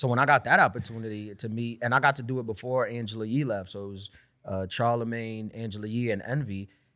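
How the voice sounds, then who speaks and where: A man with a New York accent talks very fast at a medium pitch, with a bright, sharp tone and fairly even intonation. His loudness swings widely on a very clean recording with a silent background. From New York City (Queens). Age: 30s. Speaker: stand-up comedian. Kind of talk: casual chat.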